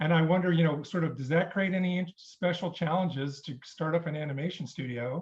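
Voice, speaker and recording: A man with a somewhat breathy voice at a fairly quick pace. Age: 50s. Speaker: viewer asking a question. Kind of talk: casual chat.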